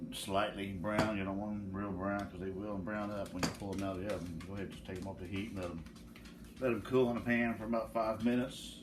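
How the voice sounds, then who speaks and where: Words come at a very fast pace in a rural Southern US accent. The intonation stays fairly even. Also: man. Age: old. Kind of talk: casual cooking demo to camera. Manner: mumbling.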